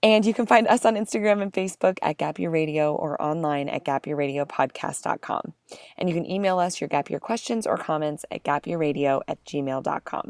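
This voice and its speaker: In a normal speaking voice, a woman talks at a fairly quick pace with lively intonation. The recording is very clean with a silent background and a dry, close sound with no echo. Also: fairly low pitch for a woman. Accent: American. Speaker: podcast co-host. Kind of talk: podcast interview.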